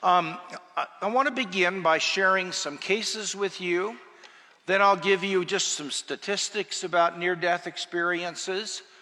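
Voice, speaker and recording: Against noticeable background noise, a man projects a raised, high-pitched voice at a fairly slow pace with fairly even intonation. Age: 70s. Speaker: professor. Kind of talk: lecture. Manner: halting.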